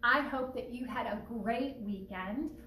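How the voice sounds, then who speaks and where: Recorded with audible room echo and light background noise, a woman talks at a fairly slow pace. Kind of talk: casual announcement vlog. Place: home room. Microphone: phone near.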